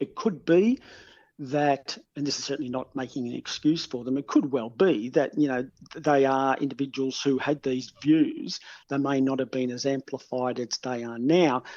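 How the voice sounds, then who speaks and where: Here is a man with an Australian accent. He talks at a moderate pace with a fairly high pitch. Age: 60s. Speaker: criminologist. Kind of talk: interview.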